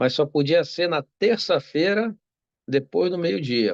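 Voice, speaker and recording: Man with a Brazilian accent and lively intonation, in a dry, close recording with no echo. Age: 60s. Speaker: doctor. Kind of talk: interview. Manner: halting.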